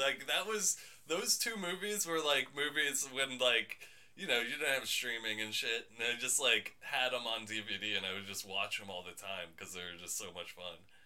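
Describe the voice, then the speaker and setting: A man speaks at a medium pitch and a moderate pace in an animated tone, his pitch swinging very widely over noticeable background noise. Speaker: podcast host. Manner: excitable, animated.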